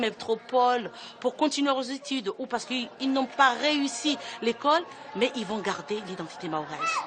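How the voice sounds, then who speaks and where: A woman talks at a moderate pace in a high voice with very wide pitch swings. Noticeable background noise runs under her speech. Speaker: madrasa school founder. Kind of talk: documentary interview. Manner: earnest, emphatic.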